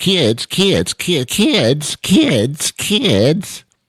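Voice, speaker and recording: Putting on a character voice, a man speaks at a fairly high pitch with very wide pitch swings, in a dry, close sound with no echo. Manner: exasperated.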